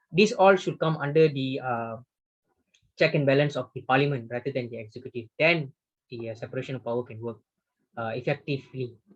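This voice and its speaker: A man's medium-pitched, somewhat breathy voice at a fairly quick pace, with ordinary pitch variation, big swings in loudness and long, frequent pauses. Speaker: webinar speaker on constitutional law. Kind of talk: lecture with Q&A. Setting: video call. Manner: fast; halting, many fillers.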